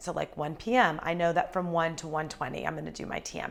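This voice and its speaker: The recording is very clean, with a silent background. A woman talks at a fairly quick pace. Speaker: chef and restaurant owner. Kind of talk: personal vlog talk. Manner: fast; animated.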